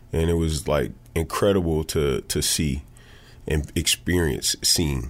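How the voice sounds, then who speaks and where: On a very clean recording with a silent background, a man with an American accent speaks fairly slowly at a very deep, low pitch, with vocal fry. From Peoria, Illinois. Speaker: former pro basketball player, nonprofit CEO. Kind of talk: interview. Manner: halting, many fillers.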